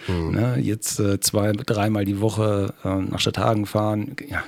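A man's fairly low voice, a plain, everyday voice, with fairly even intonation in a dry, close sound with no echo. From Lower Saxony, Schaumburg area. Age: 50s. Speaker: taekwondo trainer and husky sled dog musher. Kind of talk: casual interview. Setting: studio.

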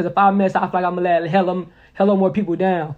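The man speaks fast in a high pitch, with little pitch movement.

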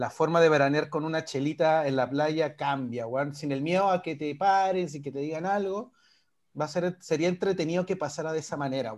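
A man with a fairly high voice talks at a moderate pace in an ordinary speaking voice, with ordinary pitch variation. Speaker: podcast co-host. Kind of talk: casual chat.

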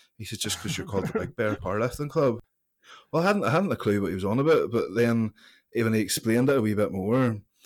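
A man speaks with a Northern Irish accent. His pace is fairly quick. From Northern Ireland, County Antrim (Larne). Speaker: strongman athlete and gym owner. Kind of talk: interview. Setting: remote call.

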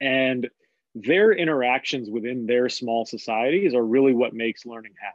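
This man has an ordinary speaking voice at medium pitch, moving at a moderate pace with ordinary pitch variation and big swings in loudness. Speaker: basketball coach. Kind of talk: casual interview chat.

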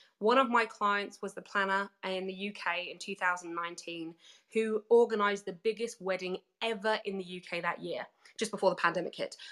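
In a British accent, a woman speaks at a moderate pace with a medium pitch and fairly even intonation. Her tone is bright and sharp, and the recording is very clean with a silent background. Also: big swings in loudness. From Britain. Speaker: business coach and speaker. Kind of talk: workshop talk. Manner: cheeky, playful.

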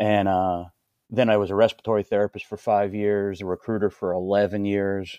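With an American accent, a man speaks at a moderate pace in a fairly low, dark, mellow tone, the sound dry and close with no echo against a quiet background. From northeastern Pennsylvania (Hazleton). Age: 50s. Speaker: army veteran and CrossFit coach. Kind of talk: casual chat.

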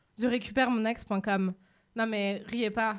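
A woman speaks with a fairly high voice in a monotone, flat intonation. The recording is very clean, with a silent background. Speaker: radio columnist. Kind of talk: prepared radio segment.

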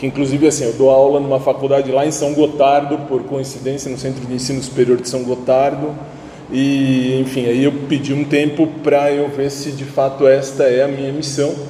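With noticeable background noise, a man speaks at a moderate pace with a fairly high pitch and monotone, flat intonation. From São Paulo, Brazil. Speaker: theology student and church music minister. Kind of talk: self-introduction in a class.

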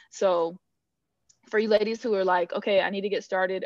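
Fairly quick and monotone, a woman of medium pitch speaks with a West Coast US accent and flat intonation. The sound is dry and close with no echo, against a quiet background. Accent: General American (West Coast). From Northern California. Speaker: financial planner. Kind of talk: podcast interview. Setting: remote call.

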